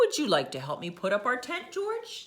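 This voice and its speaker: In a put-on character voice, the speaker uses a warm tone at a moderate pace. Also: woman, high pitch for a woman. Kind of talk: bedtime story. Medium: read story. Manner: warm, patient.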